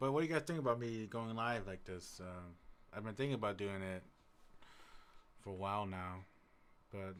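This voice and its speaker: The speaker is soft-spoken. The accent is American. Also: man. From US Midwest, Madison, Wisconsin. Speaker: music producer streamer. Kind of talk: casual live stream chat. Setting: live stream. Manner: quiet, soft-spoken; halting.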